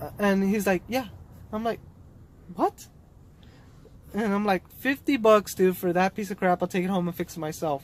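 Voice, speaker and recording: Mumbling at a fairly quick pace. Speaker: car DIY youtuber. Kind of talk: casual vlog storytelling. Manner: rambling casual, mumbling.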